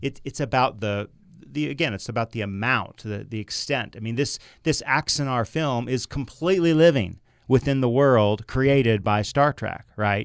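A man with a normal speaking voice talks at a moderate pace in a medium pitch with ordinary pitch variation. The recording is very clean, with a silent background. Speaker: attorney and writer. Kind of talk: radio panel discussion.

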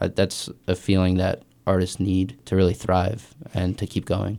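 This man's voice sits very deep and low, with a dark, mellow tone. The recording is very clean, with a silent background. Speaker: musician and local band member. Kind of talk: casual radio conversation. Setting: radio studio.

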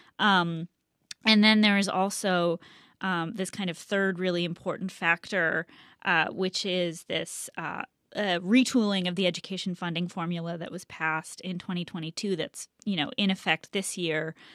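In an ordinary speaking voice, a woman talks at medium pitch and a moderate pace with fairly even intonation, the sound dry and close with no echo. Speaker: education reporter. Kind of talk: radio panel discussion. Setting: remote studio. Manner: uses many fillers.

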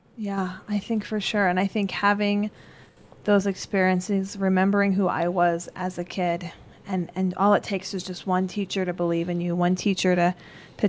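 A woman speaks with an American accent at a fairly quick pace. Her intonation is monotone and flat. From Colorado. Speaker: middle school science teacher. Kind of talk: interview. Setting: classroom.

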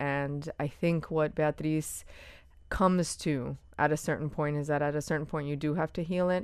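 A woman speaks in an American accent at a very deep, low pitch and a moderate pace. Her intonation is monotone and flat over a quiet background. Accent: Miami Cuban American English. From Miami, Cuban American family. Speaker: playwright and author. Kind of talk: interview conversation.

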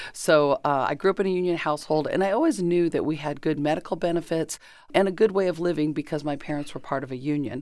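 In a Californian accent, a woman talks very fast with a very deep, low pitch and ordinary pitch variation. The recording is very clean, with a silent background. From Southern California (Chino). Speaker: former state senator and station executive director. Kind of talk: interview.

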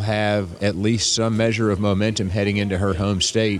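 A man speaks in an unremarkable speaking voice. His pitch is fairly low and his pace moderate. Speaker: political strategist. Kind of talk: interview. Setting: airport terminal.

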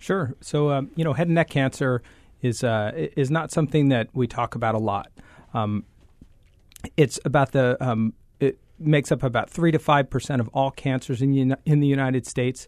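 A man with an unremarkable speaking voice talks at a moderate pace and medium pitch, with ordinary pitch variation, over a quiet background in a dry, close sound with no echo. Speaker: head and neck surgeon. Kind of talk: radio interview.

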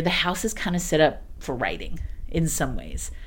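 A woman with an American accent, lively intonation and a moderate pace. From rural East Texas. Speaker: artist, residency organizer. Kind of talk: radio interview. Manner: casual, animated.

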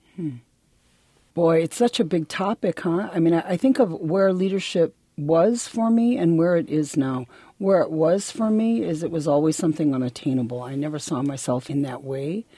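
This woman has an unremarkable speaking voice, fairly low in pitch, with lively intonation at a moderate pace. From Milwaukee, Wisconsin (urban US Midwest). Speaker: college dean, Ojibwe educator. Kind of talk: interview. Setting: radio studio.

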